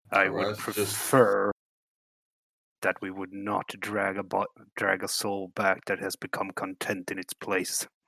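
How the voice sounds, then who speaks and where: A man puts on a raspy character voice, fairly low in pitch, speaking at a fairly slow pace in a monotone, flat intonation with long, frequent pauses. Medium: actual play. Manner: grave, formal, disapproving.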